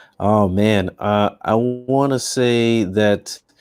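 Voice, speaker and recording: This man speaks with a Haitian accent in a fairly low-pitched voice. His intonation stays fairly even. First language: Haitian Creole. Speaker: business coach. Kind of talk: casual interview.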